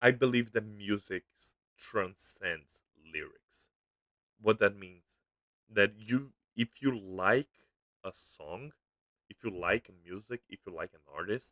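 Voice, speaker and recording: A man with a Brazilian accent speaks at a fairly low pitch in a bright, sharp tone, moving at a very slow pace with long, frequent pauses. His loudness swings widely, and the sound is dry and close with no echo. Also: ordinary pitch variation. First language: Portuguese. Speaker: YouTuber. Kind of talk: casual livestream commentary. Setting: livestream. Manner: halting.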